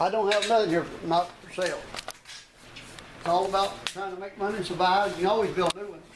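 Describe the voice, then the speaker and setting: Against noticeable background noise, a man with a high voice talks very fast in a flat monotone. Long pauses break up his speech often. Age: 60s. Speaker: race car builder and driver. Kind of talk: casual interview during shop tour. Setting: workshop tour.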